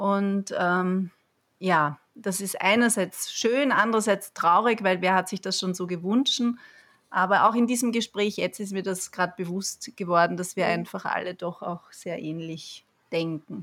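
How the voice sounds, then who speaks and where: A woman at a fairly slow pace, a normal speaking voice with ordinary pitch variation. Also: medium pitch for a woman. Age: 40s. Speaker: yoga teacher, parent. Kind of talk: casual chat. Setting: online call from home.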